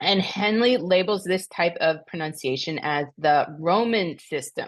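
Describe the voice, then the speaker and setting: A woman's fairly low pitch moves with ordinary variation. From US Northeast, New Jersey. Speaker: Latin teacher, homeschooling parent. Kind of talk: tutorial. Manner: casual, with fillers.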